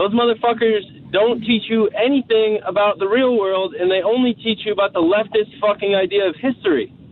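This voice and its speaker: A man speaks at a fairly quick pace with hardly any pauses and very even loudness. His pitch is high with ordinary variation, and noticeable background noise is present. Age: 20s. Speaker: caller, small business owner. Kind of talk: phone-in call.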